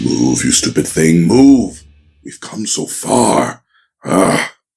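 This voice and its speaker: In a raspy, put-on character voice, a man speaks at a very slow pace with a very deep, low pitch and very wide pitch swings. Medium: audio drama.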